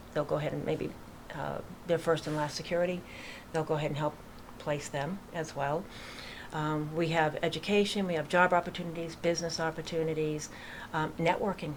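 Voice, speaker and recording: Speaking at a fairly quick pace with a slight Boston accent, the voice stays monotone and flat, broken by long, frequent pauses. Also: woman, very deep, low pitch for a woman. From Massachusetts, near Worcester. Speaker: real estate agent and veterans charity founder. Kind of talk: radio interview. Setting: studio.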